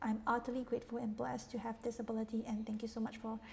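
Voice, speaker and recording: Fairly high-pitched female speech amid noticeable background noise. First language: not English. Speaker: tarot reader. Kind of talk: tarot reading monologue. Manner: halting.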